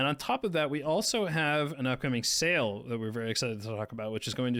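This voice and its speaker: A man talks at a fairly quick pace and a medium pitch, in an unremarkable speaking voice. The recording is very clean, with a silent background. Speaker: game developer community manager. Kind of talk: livestream announcements.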